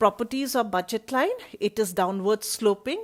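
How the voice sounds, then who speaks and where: Moderate pace and ordinary pitch variation from a woman, in a normal speaking voice. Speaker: college economics teacher. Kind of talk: online lecture.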